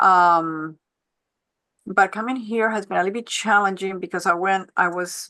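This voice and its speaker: In a non-native accent, a woman with a bright, sharp tone and medium pitch speaks at a moderate pace with fairly even intonation. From Switzerland, Geneva (born in Colombia). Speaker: panelist, economic development executive and former finance professor. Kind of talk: panel discussion.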